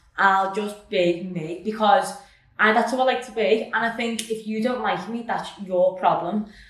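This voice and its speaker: Audible room echo surrounds a woman talking at a moderate pace and medium pitch. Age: 20s. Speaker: personal trainer and nutrition coach. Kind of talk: casual chat. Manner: loud; animated.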